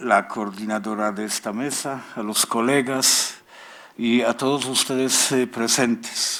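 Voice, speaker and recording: Speaking at a very slow pace, a man with a Polish accent keeps a medium pitch and fairly even intonation. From Poland. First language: Polish (speaking Spanish). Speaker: literature professor. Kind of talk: conference talk.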